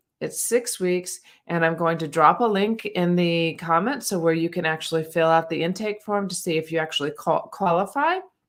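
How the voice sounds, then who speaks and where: The recording is very clean with a silent background, and a woman speaks at a moderate pace with hardly any pauses. Her voice is fairly low, with ordinary pitch variation. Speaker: grief coach and spiritual guide. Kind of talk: live stream talk. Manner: halting, with many fillers.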